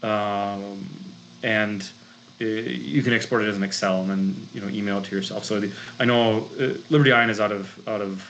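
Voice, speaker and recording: At a moderate pace, a man with a strong Minnesotan accent talks in a fairly low voice with ordinary pitch variation and audible room echo. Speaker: grant consultant and chemist. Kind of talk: presentation talk. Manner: many fillers and restarts.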